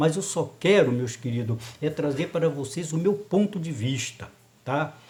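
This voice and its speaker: Audible room echo surrounds a man who speaks at a fairly slow pace in a fairly high pitch. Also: ordinary pitch variation. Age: 70s. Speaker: lay preacher. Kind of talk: sermon. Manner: animated.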